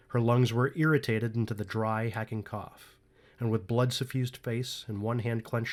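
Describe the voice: A plain read-aloud delivery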